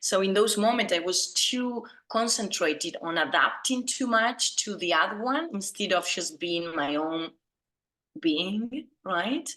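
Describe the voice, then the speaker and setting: At a fairly slow pace, a woman with an Argentine accent speaks in a bright, sharp, medium-pitched voice that swings very widely in pitch. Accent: Argentine Spanish accent, evident. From Argentina. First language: Spanish. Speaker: business founder, branding consultant. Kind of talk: interview on video call. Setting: video call.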